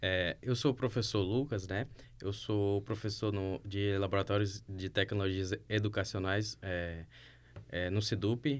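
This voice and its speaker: A man speaks in a normal speaking voice at a fairly low pitch. His intonation stays fairly even. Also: fairly slow pace. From Acre, Brazil (Rio Branco). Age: 30s. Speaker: teacher. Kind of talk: podcast introduction.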